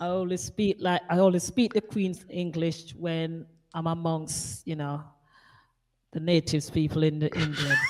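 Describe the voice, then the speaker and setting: Speaking with a Jamaican accent, a woman uses a fairly low pitch, ordinary pitch variation and a moderate pace. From Jamaica, Kingston. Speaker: radio DJ. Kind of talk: interview.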